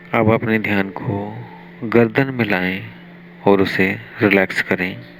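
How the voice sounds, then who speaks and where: Noticeable background noise surrounds a man speaking at a fairly low pitch. His tone is calm and soothing, with fairly even intonation. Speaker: meditation guide. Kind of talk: guided meditation, yoga nidra for sleep. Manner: slow, calm, soothing.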